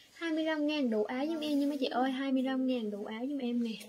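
Her voice is high for a woman. Her pitch varies in an ordinary way. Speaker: online fabric seller. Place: shop. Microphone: phone near.

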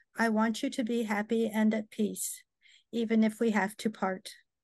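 Her voice is fairly high and flat, with monotone intonation. The woman speaks at a fairly slow pace over a quiet background. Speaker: care partner reading her own poem. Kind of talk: reading aloud poetry. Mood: tender, heartfelt. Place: home room. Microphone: webcam.

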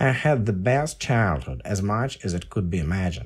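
Speaking at a moderate pace in a Russian accent, a man with a fairly low, somewhat breathy voice makes very wide pitch swings on a very clean recording with a silent background. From Russia (Volgograd, then USSR). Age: 50s. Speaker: podcaster and writer. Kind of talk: podcast monologue.

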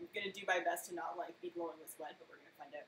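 A woman's lively intonation, with audible room echo and light background noise. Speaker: baking streamer. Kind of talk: casual live stream chat. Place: kitchen. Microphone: webcam.

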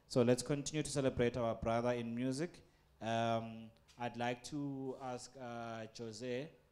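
Faint music sits in the background. A man talks in a monotone, flat intonation. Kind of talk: ceremony announcement. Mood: calm, respectful. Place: hall. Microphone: handheld.

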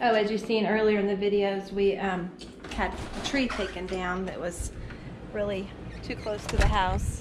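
Fairly even intonation at a moderate pace, dry with no echo, over noticeable background noise. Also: woman. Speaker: homeowner vlogger. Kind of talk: casual vlog chat. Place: garden. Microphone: phone near.

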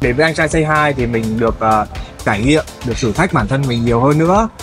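Someone speaks at a very fast pace while clear music plays in the background. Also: man. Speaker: singer. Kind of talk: interview answer. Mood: relaxed, friendly, animated. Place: studio.

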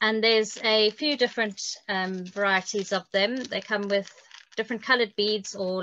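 A woman's bright, sharp tone at a moderate pace, a dry sound with no echo, and light background noise. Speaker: guest. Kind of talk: interview answer. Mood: friendly, relaxed. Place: home room. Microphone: video call.

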